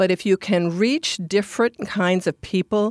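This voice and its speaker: A woman's normal speaking voice with an American accent, fairly even intonation and a moderate pace, dry and close with no echo, in a very clean recording over a silent background. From Minnesota, US Midwest. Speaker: advertising agency CEO. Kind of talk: interview.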